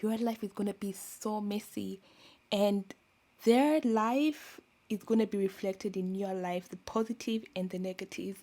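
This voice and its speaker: The voice has a dark, mellow tone and ordinary pitch variation at a fairly slow pace. The recording is very clean, with a silent background. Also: woman, medium pitch for a woman. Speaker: podcast host, youtuber. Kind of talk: solo podcast monologue.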